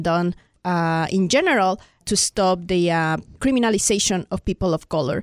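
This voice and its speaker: A woman with a Spanish accent speaks at a moderate pace and medium pitch, with ordinary pitch variation. The very clean recording has a silent background and a dry, close sound with no echo. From Mexico City, Mexico. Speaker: immigrant rights activist. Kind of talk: casual interview.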